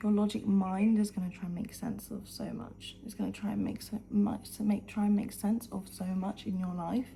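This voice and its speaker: Whispering with vocal fry, a woman goes at a moderate pace with hardly any pauses. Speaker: lifestyle vlogger. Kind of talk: motivational talk to camera. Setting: at home, early morning. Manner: animated.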